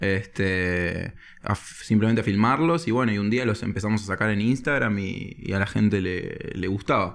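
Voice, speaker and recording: This is an ordinary speaking voice. It has ordinary pitch variation and a moderate pace. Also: man, fairly low pitch for a man. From Spain. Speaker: comedy screenwriter. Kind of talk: casual chat.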